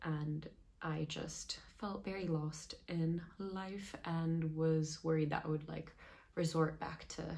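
Pitch rises and falls in an ordinary way in this somewhat breathy voice. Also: woman. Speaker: vlogger. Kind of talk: casual vlog chat. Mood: open, personal, light laughter.

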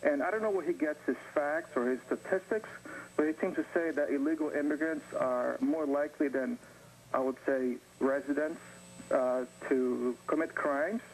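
Light background noise sits under a voice with very even loudness, moderate pace and ordinary pitch variation. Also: man, fairly high pitch for a man. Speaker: caller. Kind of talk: call-in comment. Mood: calm, rebutting argument. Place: studio. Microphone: lapel.

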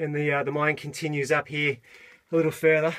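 The pace is fairly quick. The speaker is a man. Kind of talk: casual vlog commentary. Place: tunnel cave. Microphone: phone near.

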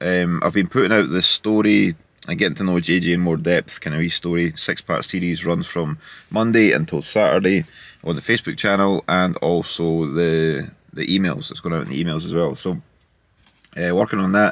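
Ordinary pitch variation at a moderate pace, in a dry sound with no echo. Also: man, very deep, low pitch for a man. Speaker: vlogger. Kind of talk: casual vlog chat. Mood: upbeat, relaxed. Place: car. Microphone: phone near.

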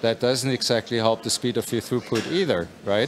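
A man with a German accent speaks at a moderate pace with fairly even intonation over light background noise. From Germany. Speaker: company executive. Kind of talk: interview. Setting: puzzle competition event. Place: hall.

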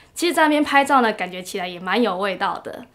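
A woman speaks with a Taiwanese accent. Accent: Taiwanese Mandarin. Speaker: working holiday visitor; interviewee. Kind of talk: interview testimonial. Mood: warm, pleasant. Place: meeting room.

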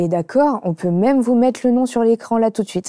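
A woman's dark, mellow tone, dry with no echo, against a quiet background. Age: 30s. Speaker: YouTuber and brand founder; show host. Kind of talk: casual chat; casual talk show chat. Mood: relaxed, candid. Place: studio. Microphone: lapel.

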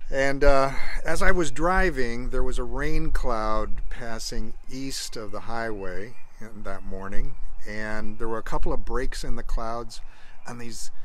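A man speaks at a very slow pace, and the sound is dry with no echo. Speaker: speaker. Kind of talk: personal devotional storytelling. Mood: warm, joyful, reflective. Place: garden. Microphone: phone near.

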